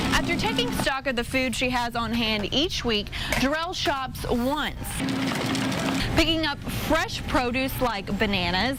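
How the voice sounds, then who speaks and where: Over music in the background, a woman with an American accent speaks at a fairly slow pace. Her pitch is high, with ordinary pitch variation and very even loudness. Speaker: television reporter and anchor. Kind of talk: news package voiceover narration.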